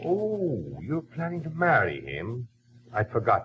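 A man's put-on character voice at medium pitch, husky with a rough edge, fairly slow, with very wide pitch swings.

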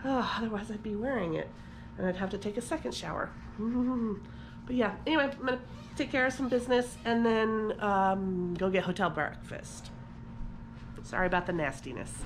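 Light background noise sits behind a woman with vocal fry who talks at a fairly quick pace with lively intonation. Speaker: vlogger. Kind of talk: casual vlog chat. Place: home room. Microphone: phone near.

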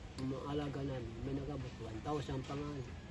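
A man's moderately paced speech comes through with clear room echo and noticeable noise in the background. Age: 60s. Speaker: cemetery caretaker. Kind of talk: interview.

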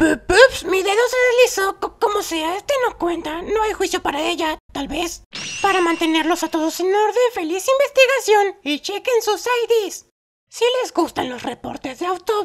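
An extremely high-pitched, put-on character voice at a moderate pace. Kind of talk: comic overacting. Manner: gleeful, taunting, hyper.

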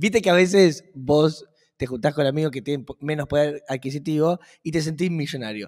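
Here a man speaks in a fairly high pitch with ordinary pitch variation. His pace is fairly quick, and the background is quiet. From Argentina. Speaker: podcast co-host. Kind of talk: casual chat. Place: office. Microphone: studio mic.

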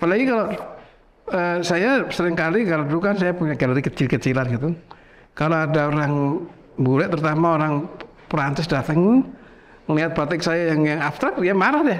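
This man talks at a fairly quick pace with a high pitch and ordinary pitch variation. His loudness stays very even over light background noise. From Central Java, Indonesia (Sragen); Central Java, Indonesia. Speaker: professor and painter; professor. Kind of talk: casual interview. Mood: relaxed, storytelling. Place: studio. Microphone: lapel.

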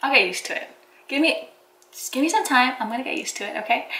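Her animated tone carries through audible room echo as a woman speaks. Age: 20s. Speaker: lifestyle vlogger. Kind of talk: casual vlog chat. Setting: home kitchen, filming to camera. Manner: animated, giggly. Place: kitchen. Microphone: phone near.

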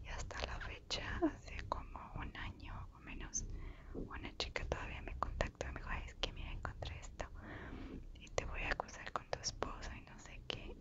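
A soft-spoken woman whispering at a moderate pace over light background noise. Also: big swings in loudness. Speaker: ASMR creator. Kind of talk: soft-spoken storytime chat. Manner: soft whisper close to microphone. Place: home room. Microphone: lapel.

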